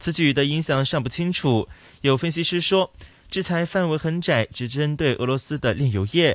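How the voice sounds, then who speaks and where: A normal speaking voice proceeds at a moderate speed, its pitch varying in an ordinary way. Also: man, fairly high pitch for a man. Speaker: radio co-host. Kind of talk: radio talk show. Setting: studio.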